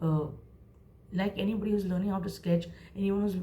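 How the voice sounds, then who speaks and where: With noticeable background noise and audible room echo, a woman talks at a fairly quick pace. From India, Mumbai. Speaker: creative professional and vlogger. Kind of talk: motivational advice monologue. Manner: animated.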